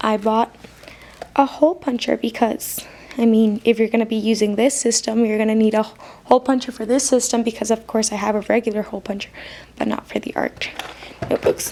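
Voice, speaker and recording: A woman's fairly high voice comes through at a moderate pace, with noticeable background noise around it. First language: not English. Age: student. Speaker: stationery haul youtuber. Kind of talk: casual product haul. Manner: hesitant, filler-heavy.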